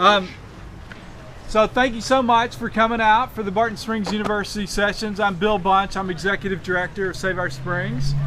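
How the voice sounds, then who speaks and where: Over noticeable background noise, a man with a high pitch speaks in a raised, projected voice at a moderate pace, with ordinary pitch variation. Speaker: environmental group director. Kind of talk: speaker introduction. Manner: loud.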